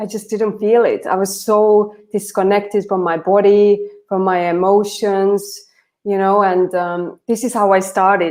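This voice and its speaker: A woman speaks in an Estonian accent at a medium pitch. Her delivery is fairly slow and monotone, with flat intonation. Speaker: transformation coach. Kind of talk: casual chat.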